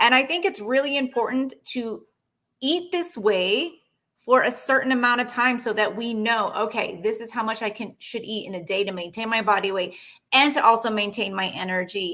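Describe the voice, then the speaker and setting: A woman's bright, sharp voice at a fairly high pitch, moderate in pace and lively in intonation, on a very clean recording with a silent background. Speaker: personal trainer and nutrition coach. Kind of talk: live-stream fitness training talk. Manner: casual, filler-heavy.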